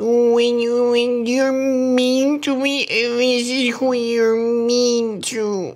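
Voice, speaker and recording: Using a put-on character voice, a female-sounding voice talks at a high pitch and a very slow pace, monotone and flat, with hardly any pauses. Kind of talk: comedy meme voiceover. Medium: dub. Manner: sad, pitiful.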